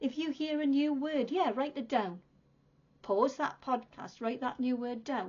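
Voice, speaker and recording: A woman with a British accent speaks at a high pitch with ordinary pitch variation. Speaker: English teacher. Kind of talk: tutorial. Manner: slow, clear and repetitive for learners.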